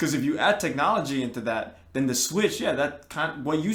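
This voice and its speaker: This man's voice sits fairly high in pitch and moves with lively intonation. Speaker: podcast co-host. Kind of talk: casual chat. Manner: halting, repeats words.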